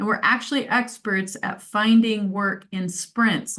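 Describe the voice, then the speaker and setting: A woman's ordinary speaking voice, medium in pitch with ordinary pitch variation. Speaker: life purpose coach. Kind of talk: presentation. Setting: video call.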